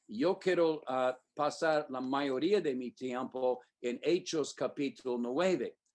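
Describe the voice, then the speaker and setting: A man with a slight non-native accent, very slow pace, fairly high pitch and ordinary pitch variation. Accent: non-native Spanish, slightly off. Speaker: preacher. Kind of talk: sermon. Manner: halting, many fillers.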